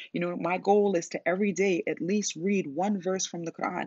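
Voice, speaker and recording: A woman has an ordinary speaking voice. She talks at a moderate pace. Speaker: business coach and podcast host. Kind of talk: solo podcast talk. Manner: casual with many filler words.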